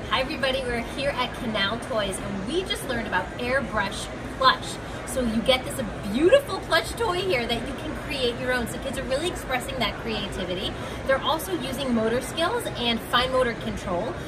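Loud background noise fills the clip while a woman talks at a moderate pace. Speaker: toy reviewer. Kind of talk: product demo commentary. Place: hall. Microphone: phone near.

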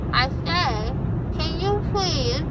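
A woman speaks at a very slow pace over loud background noise. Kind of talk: casual vlog chat. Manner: groggy, slurred speech with swollen cheek. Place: car. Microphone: phone near.

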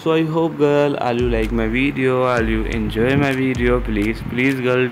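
Amid noticeable background noise, a man's voice is heard with audible room echo. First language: not English. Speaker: fashion video narrator. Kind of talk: voiceover commentary on outfit pictures.

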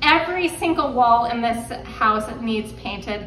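A woman is speaking here. Audible room echo and light background noise are present. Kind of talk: casual vlog chat. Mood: excited, cheerful. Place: home room. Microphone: phone near.

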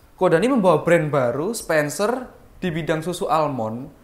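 Speaking at a moderate pace, a man with a high pitch makes very wide pitch swings. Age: young. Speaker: interview host. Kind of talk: casual interview. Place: home room.

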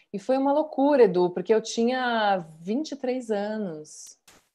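Lively intonation marks a woman's dark, mellow voice. She speaks at a very slow pace. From Rio Grande do Sul, Brazil. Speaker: actress. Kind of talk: casual interview. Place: home room. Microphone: video call.

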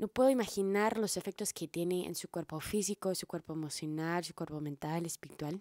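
A fairly quick, dark, mellow voice with hardly any pauses and ordinary pitch variation, in a dry sound with no echo over a quiet background. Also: woman, fairly low pitch for a woman. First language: English (speaking Spanish). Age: 30s. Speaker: herbalist and video blogger; wellness content creator. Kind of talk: monologue to camera. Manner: halting, repeats words. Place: home room. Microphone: handheld.

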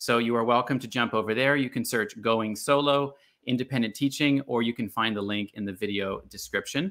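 A man's ordinary speaking voice with a North American accent, medium pitch, ordinary pitch variation and a fairly quick pace. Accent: North American, often taken for American. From Bermuda and Canada. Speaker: online teaching coach and channel host. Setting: live video stream.

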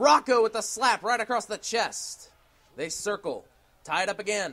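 A man speaks at a moderate pace in a raised, projected voice that is high for a man. His tone is bright and sharp, with ordinary pitch variation. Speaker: wrestling commentator. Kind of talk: sports play-by-play commentary.

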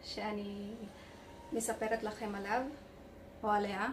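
The speech is very slow, in a non-native accent. Light background noise can be heard. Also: woman. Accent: non-native Hebrew. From Philippines. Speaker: caregiver; beauty vlogger. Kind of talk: casual beauty review to camera. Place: home room. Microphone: phone near.

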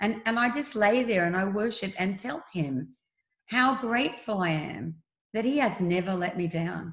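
Against a quiet background with audible room echo, a woman speaks in an Australian accent, somewhat breathy, at a moderate pace with lively intonation. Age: 60s. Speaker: speaker. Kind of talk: interview about faith and fear. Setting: video call. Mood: warm, earnest, faith-filled. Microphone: video call.

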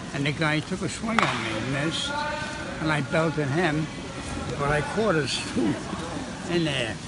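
Over loud background noise, a man talks at a fairly slow pace with ordinary pitch variation in a dry sound with no echo. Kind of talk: interview answer. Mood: amused storytelling. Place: gym. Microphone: handheld.

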